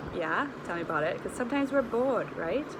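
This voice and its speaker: A woman at a fairly quick pace, ordinary pitch variation, audible room echo and noticeable background noise. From Trinidad. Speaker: nutritionist and wellness coach. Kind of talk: casual vlog chat. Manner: casual, conversational.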